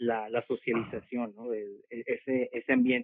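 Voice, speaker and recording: Fairly even intonation runs through speech at a moderate pace. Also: man. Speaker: homeschooling parent. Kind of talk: casual interview. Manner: halting, many repetitions.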